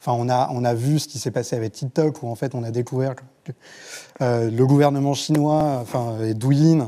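Against a quiet background, a man speaks in a dark, mellow tone with fairly even intonation. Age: 30s. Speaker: journalist; journalist panelist. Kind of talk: panel discussion. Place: studio. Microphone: lapel.

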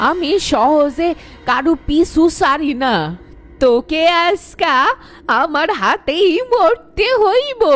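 A put-on character voice, raspy and high-pitched, speaks at a very slow pace. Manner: menacing.

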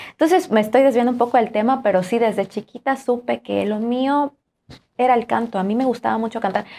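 The delivery is fairly quick, in a normal speaking voice. Pitch rises and falls an ordinary amount. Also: woman, fairly high pitch for a woman. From Juchitán, Oaxaca, Mexico; Oaxaca, Mexico. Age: young. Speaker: singer; interview guest. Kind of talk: interview. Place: studio. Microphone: lapel.

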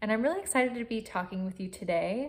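A woman is speaking. Her pitch has ordinary variation. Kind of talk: informational talk to camera. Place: home room. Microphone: phone near.

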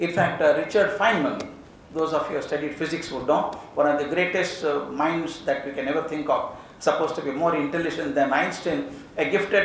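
The speech comes at a fairly quick pace with ordinary pitch variation. There is audible room echo and light background noise. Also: man. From India. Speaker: education speaker. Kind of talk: lecture. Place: hall. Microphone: podium.

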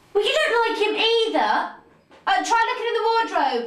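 A woman does a squeaky, put-on character voice at an extremely high pitch and a moderate pace, with a slight echo. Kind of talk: scripted drama dialogue. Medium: short film. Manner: casual, teasing. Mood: casual, distracted.

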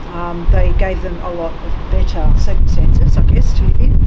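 Loud background noise surrounds speech delivered at a moderate speed. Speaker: ghost hunting vlogger. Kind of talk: casual vlog chat. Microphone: camera far.

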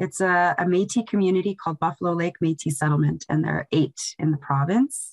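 A woman in an Albertan accent with fairly low pitch, talking at a fairly quick pace with hardly any pauses. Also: ordinary pitch variation, quiet background. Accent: Canadian (Alberta). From northern Alberta, Canada. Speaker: museum educator, show host. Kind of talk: casual chat. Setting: video call. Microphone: video call.

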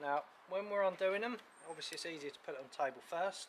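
A man talks over noticeable background noise. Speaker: garden tool demonstrator. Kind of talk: tutorial. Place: garden. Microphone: camera far.

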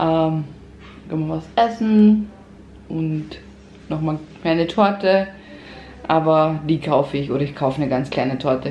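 A woman's very deep, low voice with audible room echo and light background noise. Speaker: family vlogger. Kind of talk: casual vlog chat. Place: kitchen. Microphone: phone near.

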